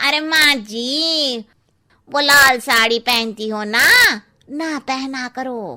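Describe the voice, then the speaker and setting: A woman puts on a cartoonish character voice, high-pitched and very slow. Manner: cheeky, gossipy.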